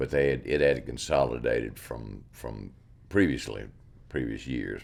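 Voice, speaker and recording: A man with a Mississippi accent talks at a moderate pace with vocal fry, very deep, low pitch and ordinary pitch variation. Audible room echo surrounds the recording. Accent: Southern US (Mississippi). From US South, Mississippi (Yazoo County). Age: 70s. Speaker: artist. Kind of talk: interview. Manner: halting, repeats words.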